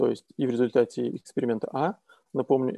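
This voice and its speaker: A man's medium-pitched voice, dark and mellow in tone, moves at a fairly quick pace with fairly even intonation in a dry, close sound with no echo. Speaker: economist. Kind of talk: academic presentation. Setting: video call.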